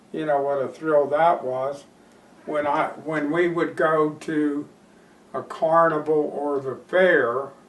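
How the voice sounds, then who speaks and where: Speaking very slowly, a man with a fairly high pitch uses monotone, flat intonation. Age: 70s. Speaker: horse breeder. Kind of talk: interview storytelling. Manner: hesitant, with fillers.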